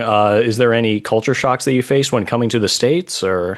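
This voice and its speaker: An American accent comes from a man with an unremarkable speaking voice at a medium pitch. He talks at a fairly quick pace with fairly even intonation. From USA. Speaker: podcast host. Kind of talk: interview.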